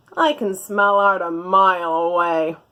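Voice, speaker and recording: At a moderate pace and middle pitch, a female-sounding voice performs a put-on character. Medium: read story.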